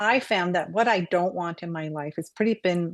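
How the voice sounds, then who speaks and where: In an ordinary speaking voice, a woman talks at a moderate pace with fairly low pitch and fairly even intonation. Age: 60s. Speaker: co-host and Reiki master. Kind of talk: casual chat.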